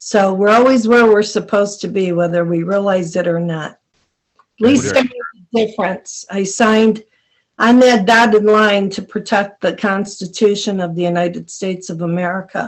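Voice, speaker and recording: A woman talks with a normal speaking voice, her medium pitch moving with ordinary variation at a moderate pace. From Buffalo, New York. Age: 60s. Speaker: army veteran. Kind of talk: podcast interview. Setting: podcast recording.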